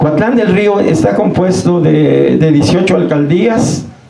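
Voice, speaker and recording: Audible room echo surrounds a man with a fairly high pitch. He speaks at a fairly slow pace. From Mexico, Morelos. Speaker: local chronicler. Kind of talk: public talk. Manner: halting.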